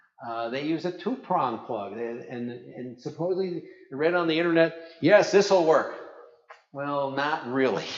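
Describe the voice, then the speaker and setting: Ordinary pitch variation, with noticeable background noise and audible room echo. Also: man. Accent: Brooklyn. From New York, Brooklyn. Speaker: ham radio operator and presenter. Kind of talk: conference talk. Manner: animated.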